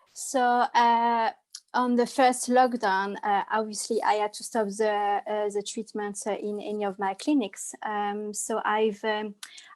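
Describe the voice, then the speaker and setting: With a French accent, a woman talks at a fairly slow pace with fairly even intonation and a fairly high pitch. The recording is very clean, with a silent background. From France, Loire Valley. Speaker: holistic therapist. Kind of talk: interview. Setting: live stream from a pub. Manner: hesitant, many fillers.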